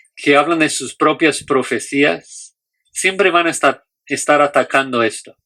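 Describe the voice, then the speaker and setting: On a very clean recording with a silent background, a man talks at a fairly slow pace. His voice is fairly high-pitched with a bright, sharp tone and ordinary pitch variation. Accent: non-native. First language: not Spanish (speaking Spanish). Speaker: Bible teacher. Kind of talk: lecture. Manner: halting, with fillers and restarts.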